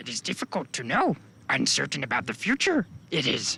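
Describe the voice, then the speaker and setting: A man's croaky, put-on character voice, fairly high in pitch, at a fairly quick pace. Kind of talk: inverted word order.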